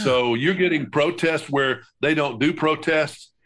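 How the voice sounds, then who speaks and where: A man talks in a normal speaking voice at a moderate pace. His pitch varies in an ordinary way over a quiet background. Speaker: veteran broadcaster, podcast co-host. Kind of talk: podcast conversation, news commentary.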